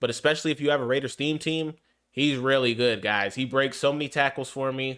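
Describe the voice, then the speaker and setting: Bright, sharp tone, fairly even intonation, moderate pace. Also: man. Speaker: gaming streamer. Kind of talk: live gameplay commentary. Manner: casual, with many fillers.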